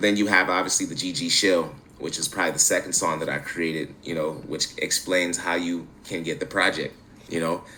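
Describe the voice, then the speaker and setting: With an American accent, a man speaks fairly quickly in a very deep, low pitch, his tone bright and sharp and his intonation fairly even. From Central New York, Syracuse. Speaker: musician. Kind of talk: podcast interview. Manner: casual, many fillers.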